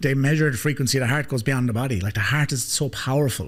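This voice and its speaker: With an Irish accent, a man talks at a very fast pace in an animated, somewhat breathy voice with ordinary pitch variation. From Ireland. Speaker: life coach, podcast host. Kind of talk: podcast conversation.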